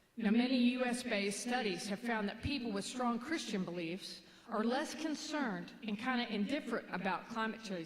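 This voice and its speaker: With a Kentucky accent and a fairly high pitch, a woman speaks at a moderate pace with ordinary pitch variation and hardly any pauses, in a room with audible echo. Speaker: minister. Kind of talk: sermon. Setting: church. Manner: halting.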